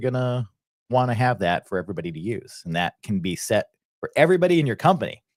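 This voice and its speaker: This man has a Boston accent and a fairly low pitch. He talks at a very fast pace. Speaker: software educator. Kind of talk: live stream software tutorial. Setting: live stream screen share. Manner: casual, filler-heavy.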